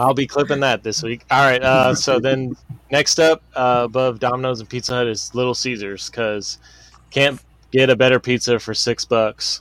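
Moderate pace, fairly even intonation and medium pitch from a man with an unremarkable speaking voice. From Boston. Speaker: podcast co-host. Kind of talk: casual chat.

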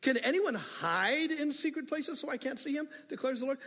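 A man speaks at an extremely high pitch, with a fairly bright tone.

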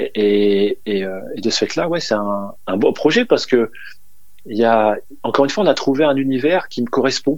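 Lively in intonation, a man with a medium pitch speaks at a moderate pace. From northern France, Dunkirk. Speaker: DJ and music producer. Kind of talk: radio interview. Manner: halting.

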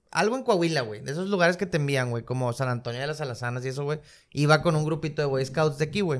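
Bright, sharp tone at a very fast pace, on a very clean recording with a silent background. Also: man. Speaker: podcast host. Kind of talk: casual chat.

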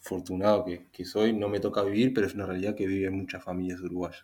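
Flat and monotone, a man talks at a fairly low pitch. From Uruguay. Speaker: industrial engineer. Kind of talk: casual discussion.

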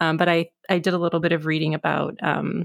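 A woman speaks at a moderate pace, with vocal fry in her voice. The sound is dry and close with no echo, in a very clean recording with a silent background. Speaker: podcast co-host. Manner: filler words, casual.

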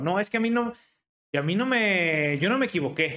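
This is a man speaking. His intonation is lively. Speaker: podcast host. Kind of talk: casual interview.

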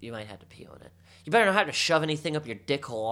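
A man with an American accent speaks in a bright, sharp tone at a fairly high pitch with lively intonation. The recording is very clean, with a silent background. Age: 30s. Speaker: podcast co-host. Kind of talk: casual chat.

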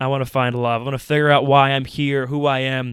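A man with an American accent speaks at a fairly quick pace and a medium pitch with little pitch movement. His tone is clear, smooth and fairly bright in a very clean recording with a silent background.

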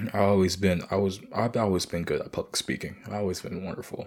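With vocal fry and a fairly low pitch, a man speaks at a fairly quick pace. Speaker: podcast host. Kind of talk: casual monologue.

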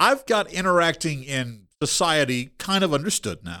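With an American accent, a man speaks in a bright, sharp tone. His pitch swings very widely, and the recording is very clean with a silent background. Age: 30s. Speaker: podcast host, game master. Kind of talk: casual chat.

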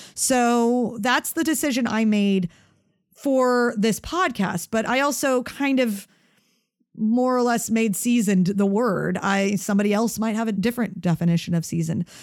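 An unremarkable speaking voice at a moderate pace, with ordinary pitch variation and very even loudness, on a very clean recording with a silent background. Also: woman, fairly high pitch for a woman. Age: 40s. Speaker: podcast host; athlete. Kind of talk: solo podcast Q&A monologue. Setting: studio recording.

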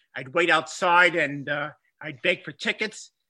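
A man with a Bronx accent speaks in a high voice with a bright, sharp tone, and the sound is dry and close with no echo. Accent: Bronx New York. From Bronx, New York. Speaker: history professor and former coach. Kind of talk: interview conversation. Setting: remote call.

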